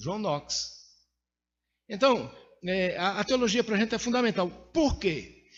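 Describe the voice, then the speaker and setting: A man with a high pitch speaks fairly slowly, using lively intonation and long, frequent pauses. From Brazil, Pernambuco (Caruaru). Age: 60s. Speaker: preacher. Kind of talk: sermon.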